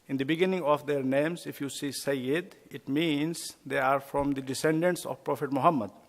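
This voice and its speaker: A man with a non-native accent, fairly high in pitch, fairly even in intonation, at a moderate pace, in a very clean recording with a silent background. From India. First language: not English. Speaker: imam. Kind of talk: lecture. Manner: hesitant, with fillers.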